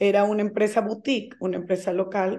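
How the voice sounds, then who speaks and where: This woman's voice has a dark, mellow tone. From Venezuela. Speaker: real estate broker and teacher. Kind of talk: interview.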